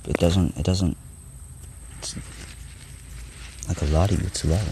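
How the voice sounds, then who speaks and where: A quiet man's voice, very deep and low in pitch, with ordinary pitch variation and noticeable background noise. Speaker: vlogger. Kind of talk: casual vlog monologue. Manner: quiet, hard to hear; halting, many restarts.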